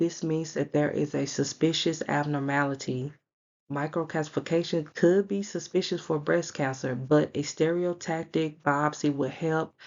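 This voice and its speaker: Soft-spoken and fairly slow, a woman talks in a very deep, low pitch with ordinary pitch variation. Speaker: radiology exam tutor. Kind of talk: tutorial. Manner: soft-spoken, talking low.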